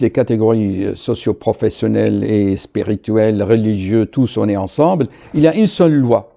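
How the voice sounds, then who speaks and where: A man at medium pitch with a dark, mellow tone, lively intonation and a moderate pace. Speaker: doctor. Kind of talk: video monologue.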